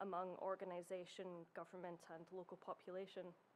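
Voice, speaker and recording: Delivered in a Scottish accent, the speech has a monotone, flat intonation. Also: woman. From Scotland. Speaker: heritage researcher. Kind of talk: conference presentation. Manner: formal.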